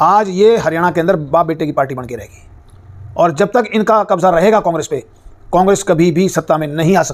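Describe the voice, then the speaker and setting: His voice sits high in pitch with ordinary variation. The man talks at a moderate pace. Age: 70s. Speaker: politician. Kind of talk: press interview. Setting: press conference. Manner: halting; blunt.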